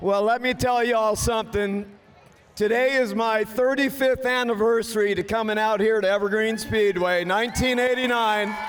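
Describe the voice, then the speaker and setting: A man's high voice, very even in loudness and fairly even in intonation, amid noticeable background noise. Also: moderate pace. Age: 60s. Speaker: demolition race driver. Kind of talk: post-race interview.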